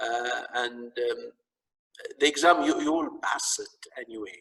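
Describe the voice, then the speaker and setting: A man speaks in a strong Arabic accent. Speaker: lecturer. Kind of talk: lecture. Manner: halting, repetitive.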